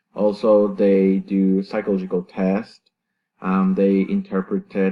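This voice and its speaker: Monotone, flat intonation marks this man's speech. He has a Salvadoran accent and a fairly low pitch. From El Salvador, San Miguel. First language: Spanish. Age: 20s. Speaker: university student. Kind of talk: class presentation. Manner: halting, many fillers and self-corrections.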